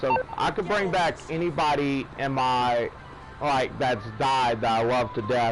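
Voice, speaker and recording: Music plays in the background as a man at a medium pitch talks at a fairly slow pace with ordinary pitch variation. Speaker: gaming livestreamer. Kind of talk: casual live stream chat. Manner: loud.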